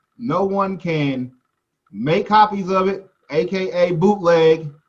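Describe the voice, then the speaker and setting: A man speaks loudly in an American accent. His pitch is high. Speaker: music business teacher. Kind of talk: lecture.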